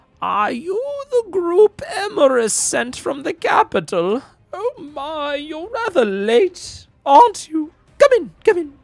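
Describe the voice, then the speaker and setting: A high-pitched, put-on character voice at a fairly slow pace, full of very wide pitch swings. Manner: mischievous, spry.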